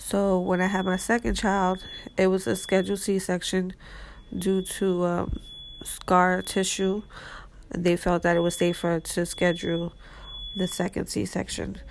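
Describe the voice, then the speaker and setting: With a medium pitch and monotone, flat intonation, a woman speaks at a fairly slow pace, her loudness very even and her pauses long and frequent. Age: 30s. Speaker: mother sharing her birth experience. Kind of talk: personal storytelling. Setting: hospital room. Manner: hesitant, many fillers.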